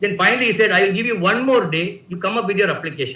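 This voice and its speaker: With fairly even intonation, a man with a high pitch uses a raised, projected voice amid audible room echo. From India, Tamil Nadu. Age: 60s. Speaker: writer. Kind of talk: personal storytelling. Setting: video call. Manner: halting, many fillers.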